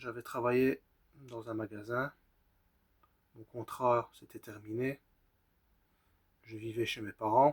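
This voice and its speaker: A man speaks at a very slow pace, with long, frequent pauses, big swings in loudness and a somewhat breathy, medium-pitched voice. His intonation is monotone and flat, and the sound is dry and close with no echo. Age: 30s. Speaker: vlogger sharing personal mental health story. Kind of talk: personal testimony. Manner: halting.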